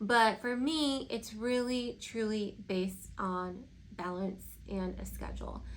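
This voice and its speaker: A woman speaks at a very slow pace, with audible room echo around her voice. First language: Spanish. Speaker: lifestyle vlogger. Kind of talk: casual Q&A vlog. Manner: conversational, many fillers.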